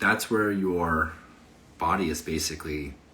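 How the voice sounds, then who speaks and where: A man speaks with ordinary pitch variation. Audible room echo can be heard. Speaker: fitness coach. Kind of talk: casual livestream talk on health. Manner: animated.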